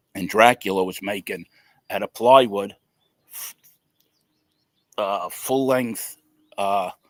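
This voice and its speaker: A man with a New York accent speaks at a very slow pace, fairly low in pitch, with fairly even intonation and long, frequent pauses. His loudness swings a lot in a dry, close sound with no echo. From New York City. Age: 60s. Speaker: tattoo artist. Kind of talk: interview storytelling. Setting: live video interview.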